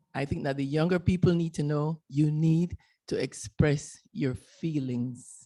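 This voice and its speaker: In a Panamanian Caribbean accent, a woman speaks with a very deep, low pitch. Her tone is dark and mellow, and her pace fairly slow. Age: 70s. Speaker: retired canal worker, audience member. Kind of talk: audience comment at panel discussion.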